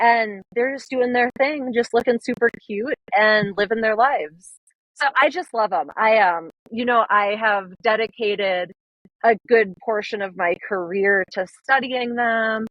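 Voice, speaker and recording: A woman speaks with a Minnesotan accent. Her voice is fairly high and her pace fairly slow. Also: ordinary pitch variation. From northern Minnesota. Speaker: conservation photographer. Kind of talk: podcast interview. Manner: animated.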